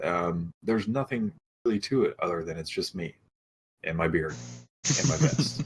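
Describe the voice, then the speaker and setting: With music playing behind him, a man talks in a calm, relaxed tone, leaving long, frequent pauses. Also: fairly low pitch for a man, moderate pace. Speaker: team founder and streamer. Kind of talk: casual chat. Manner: monotone.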